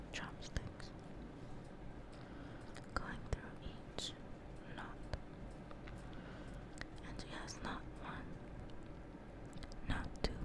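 Long, frequent pauses against loud background noise. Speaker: ASMR creator. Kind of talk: ASMR soft-spoken narration.

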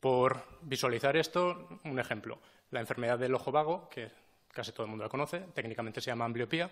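Against a quiet background, a man at a medium pitch speaks at a fairly quick pace. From Spain, Teruel (Aragón); Aragón, Spain. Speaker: regional government official, scientist. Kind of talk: formal appearance before parliament. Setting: parliament hearing room. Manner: halting, with filler sounds. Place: meeting room. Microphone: podium.

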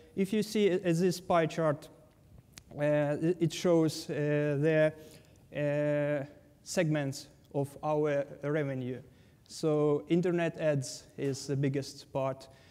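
Leaving long, frequent pauses, a man talks at a very slow pace with fairly even intonation. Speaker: conference presenter. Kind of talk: technical conference talk. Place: hall.

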